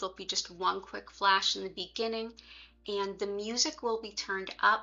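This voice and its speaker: A woman with a Philadelphia accent, at medium pitch. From US, Philadelphia. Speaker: Reiki teacher. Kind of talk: livestream explanation. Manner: casual, relaxed.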